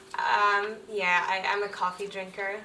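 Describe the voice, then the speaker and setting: Audible room echo, noticeable background noise and a fairly slow pace of speech. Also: woman. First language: Finnish. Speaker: illustrator. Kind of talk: casual Q&A chat. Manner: hesitant, many fillers.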